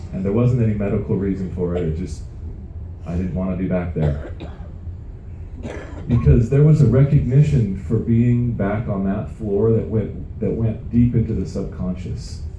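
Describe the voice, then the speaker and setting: There is audible room echo as a man with a fairly low pitch talks at a moderate pace with lively intonation. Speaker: company founder. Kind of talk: motivational talk. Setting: stage with audience on a cruise ship. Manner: stutter.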